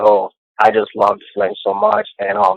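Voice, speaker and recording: A man speaks with a Cameroonian accent. The sound is dry and close, with no echo. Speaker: caller. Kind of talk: phone-in call to live show. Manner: enthusiastic.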